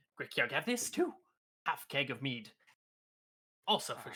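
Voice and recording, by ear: A man's put-on character voice, high-pitched and guttural. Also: moderate pace.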